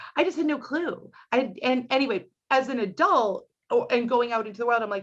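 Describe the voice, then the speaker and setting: In a Boston accent, a woman with a high pitch speaks at a fairly quick pace, her tone animated and her intonation lively. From Boston, Dorchester. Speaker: comedian. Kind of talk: casual chat.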